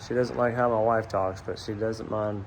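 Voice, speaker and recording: A man speaks in a strong Southern US accent at a medium pitch. His intonation is fairly even. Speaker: police officer and hobby knife maker. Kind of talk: personal video introduction. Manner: casual, halting with fillers.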